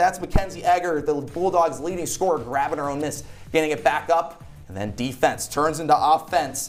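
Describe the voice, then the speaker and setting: Music plays in the background. A man with a high voice talks at a moderate pace. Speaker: sports play-by-play broadcaster and student host. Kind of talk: basketball play-by-play call.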